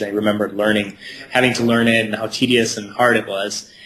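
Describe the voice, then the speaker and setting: Noticeable background noise sits behind this recording. A man with a fairly low pitch talks at a very fast pace. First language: not English. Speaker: startup founder. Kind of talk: interview.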